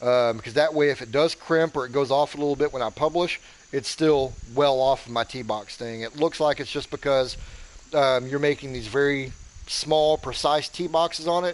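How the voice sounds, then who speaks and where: A man with a fairly high pitch speaks at a moderate pace and with fairly even intonation. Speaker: gaming streamer. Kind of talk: live game commentary. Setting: live stream. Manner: monotone; deadpan.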